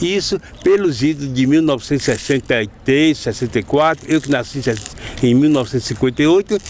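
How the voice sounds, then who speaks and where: Amid noticeable background noise, a man speaks at a fairly quick pace and fairly high pitch. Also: ordinary pitch variation, hardly any pauses, very even loudness. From Bahia, Recôncavo (Santo Amaro). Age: 60s. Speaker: capoeira master. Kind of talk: interview.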